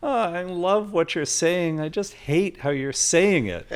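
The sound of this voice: Putting on a whiny character voice, a man talks high in pitch at a fairly slow pace with ordinary pitch variation.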